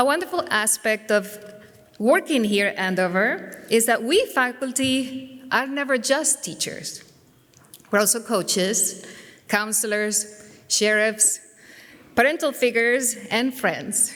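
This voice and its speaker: With a Spanish accent, a woman speaks at a fairly slow pace and a fairly high pitch. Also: ordinary pitch variation. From Spain. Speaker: teacher. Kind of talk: speech. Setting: church. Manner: formal.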